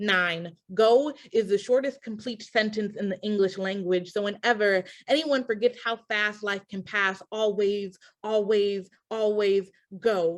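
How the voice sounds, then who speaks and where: At a fairly slow pace, a woman talks in a plain, everyday voice, her medium pitch held in fairly even intonation. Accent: American. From Milwaukee, Wisconsin. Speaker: spoken word poet. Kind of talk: poetry reading.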